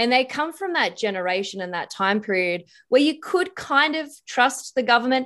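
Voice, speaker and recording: A woman's high, bright, sharp voice with very wide pitch swings at a moderate pace against a quiet background. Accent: Australian. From Australia. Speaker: political commentator and former detective. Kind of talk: casual interview.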